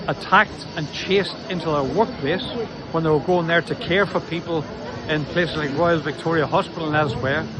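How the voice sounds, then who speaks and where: A man speaks in a high pitch with a Northern Irish accent. Noticeable background noise runs underneath. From Northern Ireland. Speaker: socialist party workplace organiser. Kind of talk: political statement to camera.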